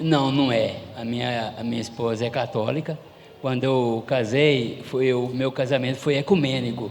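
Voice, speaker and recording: At a fairly slow pace, a man talks at a medium pitch, with noticeable noise in the background. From Goiás, Brazil. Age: 70s. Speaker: church member giving testimony. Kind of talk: testimony.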